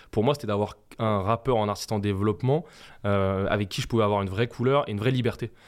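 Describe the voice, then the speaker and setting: Over a very clean recording with a silent background, a man speaks at a very fast pace in a fairly low pitch with ordinary pitch variation. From France, Essonne (Brunoy). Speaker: music producer. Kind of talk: interview.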